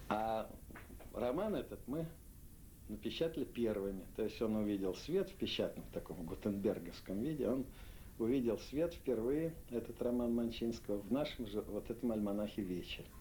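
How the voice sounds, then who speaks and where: Delivery is at a moderate pace with lively intonation. The voice has a dark, mellow tone. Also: man, medium pitch for a man. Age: 60s. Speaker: literary editor. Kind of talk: interview. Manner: halting.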